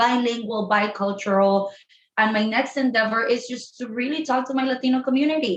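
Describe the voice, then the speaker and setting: A woman with a Spanish accent speaks at a fairly quick pace and fairly high pitch, somewhat breathy, with ordinary pitch variation. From Colombia. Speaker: sex therapist. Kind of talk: podcast interview.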